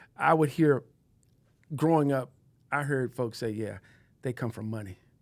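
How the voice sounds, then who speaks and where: A man talks at a moderate pace and medium pitch with ordinary pitch variation, in an ordinary speaking voice. The recording is very clean with a silent background. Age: 60s. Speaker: podcast co-host and advocate. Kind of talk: casual chat.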